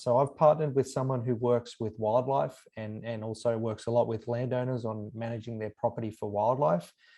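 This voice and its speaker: A man's medium-pitched voice, dark and mellow in tone, at a fairly quick pace over a quiet background. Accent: Australian. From Australia. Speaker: university professor and extension specialist. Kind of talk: webinar lecture. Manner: frequent fillers and repetitions.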